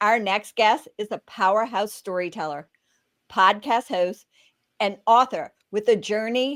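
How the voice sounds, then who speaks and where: A woman's unremarkable speaking voice, fairly high in pitch with lively intonation, on a very clean recording with a silent background. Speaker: magazine podcast host. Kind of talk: podcast interview host.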